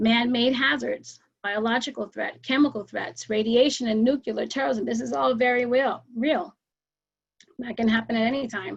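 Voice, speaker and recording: A woman talks at a moderate pace, with ordinary pitch variation. She has an unremarkable speaking voice pitched fairly high. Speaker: emergency preparedness educator. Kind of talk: presentation with slides.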